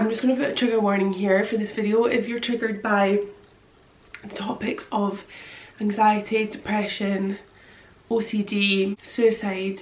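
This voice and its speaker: Against noticeable background noise, a woman with a medium pitch talks at a moderate pace in a monotone with flat intonation. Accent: British. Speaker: vlogger. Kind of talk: personal testimony vlog. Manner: halting.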